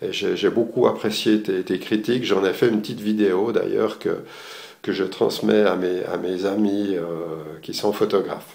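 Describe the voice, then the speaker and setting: A man talks at a fairly low pitch and a fairly slow pace. His intonation stays fairly even, with audible room echo. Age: 60s. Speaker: retired architect, amateur photographer giving course review. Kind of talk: video testimonial. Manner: halting, many hesitations.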